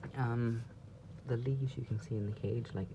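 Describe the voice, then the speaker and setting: A man whispering at a moderate pace. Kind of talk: pet enclosure tour to camera. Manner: whispered.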